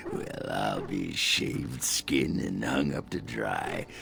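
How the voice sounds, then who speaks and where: Using a put-on character voice, a man speaks at a very slow pace over clear background noise. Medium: video game. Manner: gruff, coarse, rambling.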